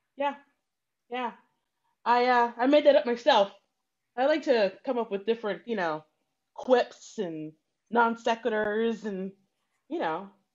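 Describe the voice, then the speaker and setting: A woman speaks at a fairly slow pace with long, frequent pauses. Her intonation is lively. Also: fairly high pitch for a woman, quiet background. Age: 40s. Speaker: improv comedian. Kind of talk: improvised comedy scene. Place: home room. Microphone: video call.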